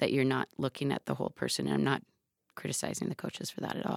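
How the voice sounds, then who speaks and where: A woman with an American accent speaks in a very deep, low voice with vocal fry, on a very clean recording with a silent background and a dry, close sound with no echo. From Seattle, US Pacific Northwest. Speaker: high school running coach. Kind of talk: interview conversation. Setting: studio.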